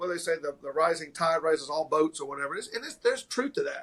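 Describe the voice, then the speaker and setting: A man with a strong Tennessee accent, very fast pace and lively intonation. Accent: thick Southern US (Tennessee). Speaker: martial arts school owner. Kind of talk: casual interview chat.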